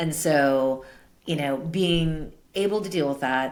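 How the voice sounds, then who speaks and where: The speaker has a New York accent. The pitch varies in an ordinary way. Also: woman. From US Northeast, Brooklyn, New York City. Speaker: tech executive and advisor. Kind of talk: interview. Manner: loud.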